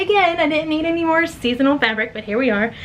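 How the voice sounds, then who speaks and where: Over noticeable background noise, a woman speaks at a fairly quick pace in a high pitch with very wide pitch swings. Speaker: small business owner and vlogger. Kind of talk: casual vlog talk to camera. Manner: fast; chatty, rambling.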